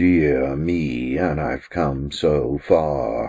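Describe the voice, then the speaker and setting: Doing a put-on character voice, a man speaks at a very deep, low pitch with fairly even intonation. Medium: read story. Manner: stately, dry.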